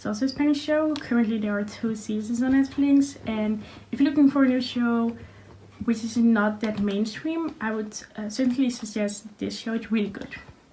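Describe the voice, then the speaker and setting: A woman with a Dutch accent, fairly high in pitch, at a moderate pace amid noticeable background noise. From Netherlands. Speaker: university student. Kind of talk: tutorial. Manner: hesitant, many fillers.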